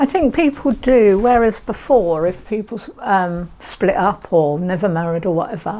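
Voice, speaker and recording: Over noticeable background noise, a woman with a medium-pitched voice talks at a moderate pace with lively intonation and hardly any pauses. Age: 70s. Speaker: older woman going on a date. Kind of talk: documentary interview. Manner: hesitant, with fillers.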